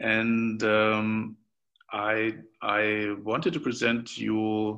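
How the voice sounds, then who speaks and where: In a German accent, a man speaks with a fairly low pitch and a bright, sharp tone. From Germany. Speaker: podcast host. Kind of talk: interview. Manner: halting.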